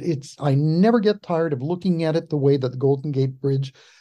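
A man with an American accent, fairly high-pitched, dark and mellow in tone, with ordinary pitch variation. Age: 70s. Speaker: historian. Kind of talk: interview.

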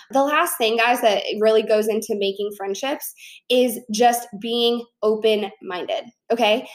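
Fairly slow, animated speech from a woman with an American accent, her fairly high pitch showing ordinary variation. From Chicago, US Midwest. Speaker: podcast host and fitness entrepreneur. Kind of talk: casual solo podcast monologue.

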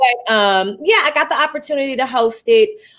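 This woman speaks at a moderate pace in a Southern US accent, her pitch varying in an ordinary way. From Arkansas. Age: 30s. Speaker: radio host. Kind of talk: casual chat.

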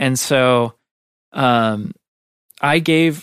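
A man speaks at a medium pitch with an American accent. The sound is dry and close with no echo, a very clean recording over a silent background. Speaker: video editor. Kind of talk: casual interview. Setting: studio.

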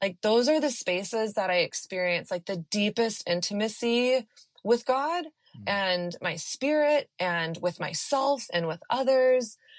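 In an American accent, a woman with a normal speaking voice talks at a fairly slow pace with hardly any pauses and fairly high pitch. The sound is dry and close with no echo, against a quiet background. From Texas. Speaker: author and dating coach. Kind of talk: interview, casual conversation.

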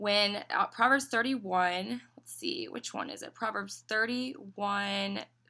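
With a slight Southern US accent, a woman talks very slowly in a bright, sharp tone at medium pitch, her intonation lively and her loudness swinging widely. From Tennessee, US South. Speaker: business owner. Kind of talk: casual interview chat.

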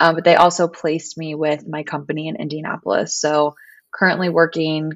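In a normal speaking voice, a woman with an American accent talks at a fairly quick pace and a fairly low pitch. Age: 20s. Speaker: yoga teacher and business co-founder. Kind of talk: casual chat.

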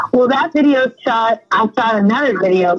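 Over music in the background, a woman with an American accent speaks at a moderate pace, her fairly high pitch carried by lively intonation. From US West Coast: San Fernando Valley, Southern California. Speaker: singer-songwriter. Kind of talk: interview. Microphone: audio delay on her connection.

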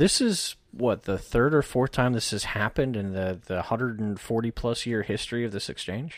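A man with an ordinary speaking voice at medium pitch, moderate pace, ordinary pitch variation and hardly any pauses, in a very clean recording with a silent background. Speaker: technical analyst. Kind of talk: casual chat about markets, tutorial.

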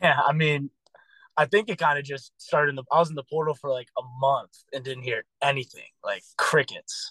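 A man's bright, sharp, fairly high voice at a moderate pace, in a dry, close sound with no echo. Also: fairly even intonation. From Washington D.C. area (Maryland). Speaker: college football player. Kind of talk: casual interview.

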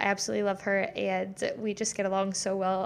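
This is a very clean recording with a silent background. A woman speaks at a moderate pace. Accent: American. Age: 20s. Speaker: podcast host, fitness coach. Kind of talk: casual solo podcast chat. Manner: animated.

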